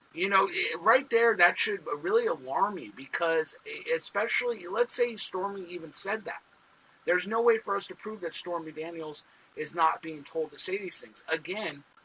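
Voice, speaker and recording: With a raised, projected voice, a man speaks at a high pitch and a moderate pace. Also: big swings in loudness. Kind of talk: political commentary to camera. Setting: wrong microphone, poor sound. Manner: casual, hesitant with fillers.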